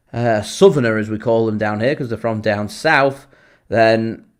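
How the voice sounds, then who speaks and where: Speaking at a moderate pace and medium pitch, a man with a Lancashire accent is heard in a very clean recording with a silent background. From Lancashire, northern England. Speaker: football fan channel host. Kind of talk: live match watchalong commentary. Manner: casual, chatty.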